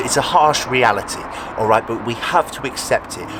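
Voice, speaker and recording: Against noticeable background noise, the speech moves at a fairly quick pace with ordinary pitch variation. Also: man. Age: 20s. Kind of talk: motivational talk. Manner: animated.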